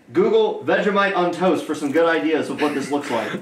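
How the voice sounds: With strong room echo, a man talks at a fairly quick pace, his pitch fairly high and his intonation lively.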